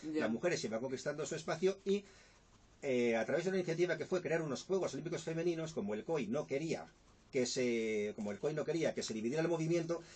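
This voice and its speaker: Lively in intonation, the speech moves at a very fast pace. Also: man. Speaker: journalist and author. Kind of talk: radio interview answer.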